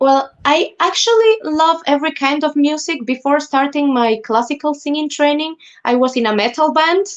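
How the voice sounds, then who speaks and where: The speaker keeps a moderate pace with ordinary pitch variation and hardly any pauses. Loudness stays very even, with music in the background. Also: woman, high pitch for a woman. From Ecuador. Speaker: classical singer. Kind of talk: interview. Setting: live stream.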